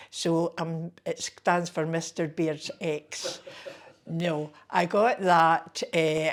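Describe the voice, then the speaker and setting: With a Glaswegian accent, a woman talks at a very slow pace. Her pitch is fairly low and her intonation fairly even. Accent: Glaswegian Scottish. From Scotland, Rutherglen near Glasgow. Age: 70s. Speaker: community activist. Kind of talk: oral history interview.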